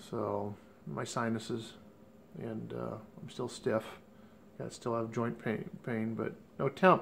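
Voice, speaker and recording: A man's medium-pitched voice with vocal fry and lively intonation, very slow, with long, frequent pauses. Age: 50s. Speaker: vlogger. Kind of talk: video diary.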